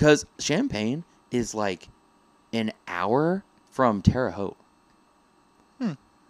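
A man speaks very slowly at a medium pitch, with long, frequent pauses and very wide pitch swings. The recording is very clean and dry, close with no echo and a silent background. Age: 20s. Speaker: podcast co-host. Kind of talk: casual chat.

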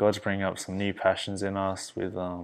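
The man has a fairly low pitch and an Australian accent. He speaks at a moderate pace with monotone, flat intonation. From Perth, Western Australia. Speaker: videographer and obstacle runner. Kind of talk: casual chat.

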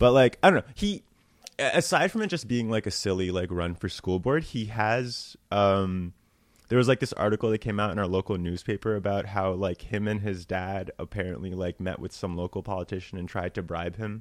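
A man with a normal speaking voice and an American accent, fairly low in pitch with ordinary pitch variation, at a fairly quick pace, in a very clean, dry, close recording with a silent background and no echo. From New Jersey. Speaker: comedian. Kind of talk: casual chat.

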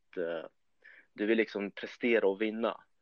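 A man with a plain, everyday voice at medium pitch, speaking at a fairly slow pace. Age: 20s. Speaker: competitive bodybuilder. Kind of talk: podcast interview.

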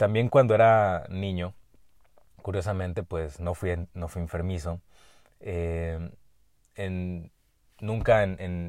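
A man with a very deep, low voice speaks very slowly in a Mexican accent, his intonation fairly even. The recording is very clean, with a silent background. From Mexico, Jalisco. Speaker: medical doctor and podcast host. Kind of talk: solo podcast monologue. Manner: hesitant with frequent fillers and repetitions.

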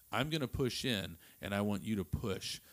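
Here is a man with an unremarkable speaking voice. His pitch varies in an ordinary way. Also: very clean recording, silent background. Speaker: father and podcast host. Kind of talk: casual chat.

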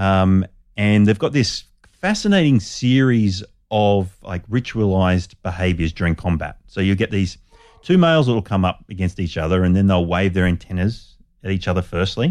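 Here a man speaks at a moderate pace. His pitch is fairly low, with ordinary variation. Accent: Australian. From Australia, Sydney northern beaches. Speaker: biologist. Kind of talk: interview.

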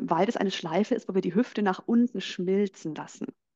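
A woman speaks in a normal speaking voice at a medium pitch with ordinary pitch variation, her sound dry and close with no echo against a quiet background. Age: 30s. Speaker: belly dance teacher. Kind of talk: guided dance instruction; casual interview.

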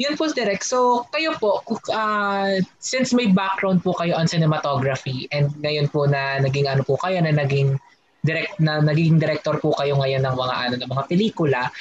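A man with an unremarkable speaking voice talks at a moderate pace, pitched fairly high for a man, with lively intonation. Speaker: guest co-host, film student. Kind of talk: podcast interview.

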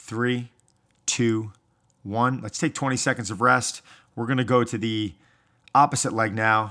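In a very clean recording with a silent background, a man speaks in an upbeat tone at medium pitch and a moderate pace, with long, frequent pauses. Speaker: fitness trainer. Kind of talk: guided workout instruction, counting down timed intervals. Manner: upbeat, motivating coach cadence; clear, directive, steady pacing.

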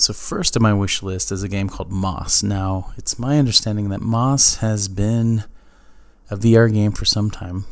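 A man with a fairly low pitch, a fairly slow pace, fairly even intonation and an unremarkable speaking voice. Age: 30s. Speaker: gaming podcast host. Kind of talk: solo podcast monologue.

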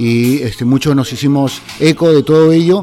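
A man's pitch moves in a normal way as he talks. Music can be heard behind him. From Peru, Lima. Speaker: community theatre artist. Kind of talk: interview testimony. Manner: halting, many fillers.

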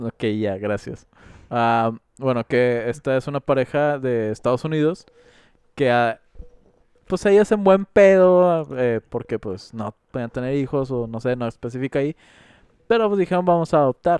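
With a Mexican accent, a man speaks at a medium pitch and a fairly slow pace, his intonation lively, with long, frequent pauses and a dry, close sound with no echo. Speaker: podcast co-host. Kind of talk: casual chat.

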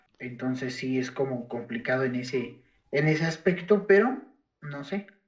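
A man speaks at a fairly slow pace in a medium pitch with ordinary variation. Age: 20s. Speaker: podcast co-host, sociology graduate. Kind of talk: casual chat. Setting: video call from home. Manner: halting, many fillers.

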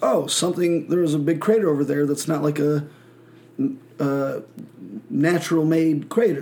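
With an American accent, a man speaks in a fairly high, dark and mellow voice. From Michigan, small country town. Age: 20s. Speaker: podcast host. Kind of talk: casual chat.

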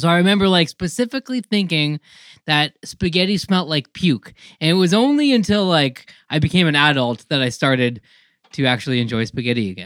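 The recording is very clean, with a silent background. The voice moves at a fairly quick pace. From Canada, rural Ontario. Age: 30s. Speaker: podcast host. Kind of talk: casual chat.

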